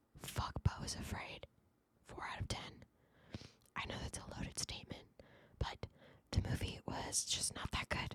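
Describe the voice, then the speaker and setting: A woman is whispering at a moderate pace. She leaves long, frequent pauses. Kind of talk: casual podcast talk to camera. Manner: casual, chatty, animated, reviewing movies and telling a story.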